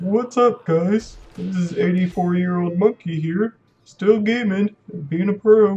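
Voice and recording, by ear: Someone does a put-on character voice at a middle pitch and a fairly slow pace.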